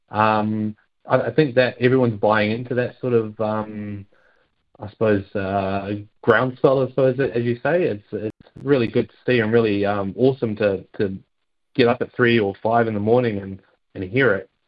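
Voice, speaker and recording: A man with a New Zealand accent speaks at a moderate pace, his fairly low voice carrying fairly even intonation. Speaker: football fan club representative. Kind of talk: casual interview. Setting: phone call.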